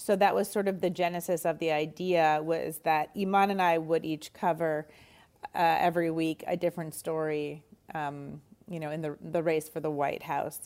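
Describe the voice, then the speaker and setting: A woman with a Canadian accent speaks in an ordinary speaking voice at a fairly low pitch. Her intonation is fairly even and her pace moderate. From Montreal, Canada. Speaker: comedian. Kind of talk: casual interview.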